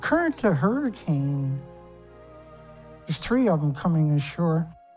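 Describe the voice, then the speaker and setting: Against music in the background, a man speaks at a fairly slow pace. His voice is fairly high in pitch, with lively intonation. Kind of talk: casual commentary on video footage, conspiracy-style analysis.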